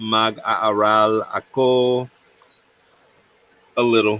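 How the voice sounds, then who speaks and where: A man's bright, sharp, medium-pitched voice in a Virginia accent, very slow and monotone, with long, frequent pauses. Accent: own Virginia dialect. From US, Virginia. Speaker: livestream co-host. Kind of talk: casual livestream chat.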